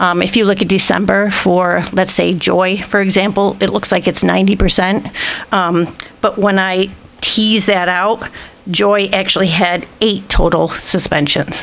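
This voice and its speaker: Over noticeable background noise, a woman at medium pitch talks in a monotone, flat intonation with very even loudness. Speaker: school administrator presenting data. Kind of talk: board meeting presentation. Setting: school board meeting. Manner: fast.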